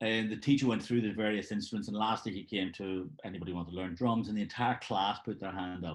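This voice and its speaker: With a quiet background, a man talks at a very fast pace with hardly any pauses and ordinary pitch variation. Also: fairly low pitch for a man. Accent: Belfast. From Northern Ireland, Belfast. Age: 60s. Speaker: session drummer. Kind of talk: interview. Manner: halting, many fillers.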